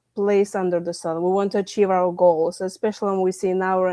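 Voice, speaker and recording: Against a quiet background, a woman speaks with a Lithuanian accent at a medium pitch. Her intonation is monotone and flat, the sound dry and close with no echo. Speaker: stress management coach and author. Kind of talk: podcast interview. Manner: halting, with fillers.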